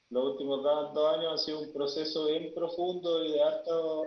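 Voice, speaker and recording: A fairly high-pitched man at a fairly slow pace, with audible room echo. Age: 40s. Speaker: death and grief guide. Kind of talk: panel discussion.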